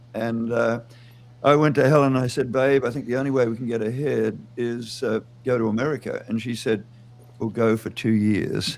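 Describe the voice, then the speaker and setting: Delivered at a moderate pace in an Australian accent, the speech keeps a fairly even intonation. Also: man, medium pitch for a man. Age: 70s. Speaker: music producer. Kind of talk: interview.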